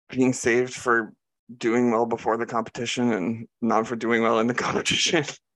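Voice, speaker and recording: A man with a medium pitch talks at a very even loudness. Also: moderate pace. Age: 30s. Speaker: podcast guest, TV commentator. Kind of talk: casual chat. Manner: animated.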